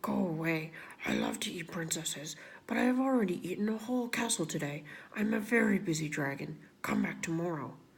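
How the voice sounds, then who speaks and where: A put-on character voice, female-sounding and middle in pitch, at a fairly quick pace. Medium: read story. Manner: brusque, self-important.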